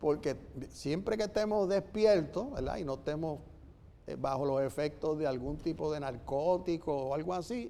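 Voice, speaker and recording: A man's fairly high-pitched, dark, mellow voice, with very wide pitch swings at a fairly slow pace. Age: 70s. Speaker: writer and lawyer panelist. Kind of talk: forum talk.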